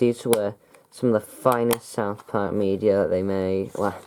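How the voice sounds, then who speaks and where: Someone with a British accent speaks at a fairly slow pace. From UK. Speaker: YouTuber reviewing his DVD collection. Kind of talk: casual vlog talk. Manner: hesitant, many fillers.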